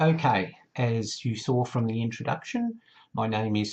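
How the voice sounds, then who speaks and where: The man's voice is somewhat breathy. He speaks at a fairly slow pace with lively intonation. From Australia. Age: 50s. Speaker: YouTuber, TV fan. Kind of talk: casual vlog monologue. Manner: chatty.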